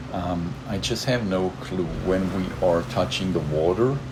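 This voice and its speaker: Noticeable background noise surrounds a man whose pitch is very deep and low, his intonation lively and his pace fairly slow. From southern Germany, Stuttgart area (Swabia). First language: German (Swabian dialect). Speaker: gaming YouTuber. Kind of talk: gameplay commentary. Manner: casual, with many fillers.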